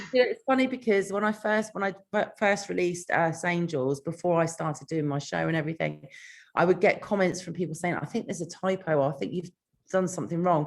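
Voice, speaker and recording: A woman talks very fast in a British accent, her pitch fairly low. Her tone is energetic. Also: ordinary pitch variation. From Britain. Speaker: author. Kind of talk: interview.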